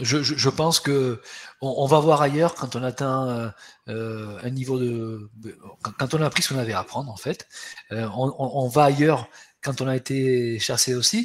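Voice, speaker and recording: Speaking at a moderate pace, the man has a medium pitch and a fairly even intonation. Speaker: HR webinar host. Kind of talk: webinar presentation. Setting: webinar. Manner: hesitant, many repetitions.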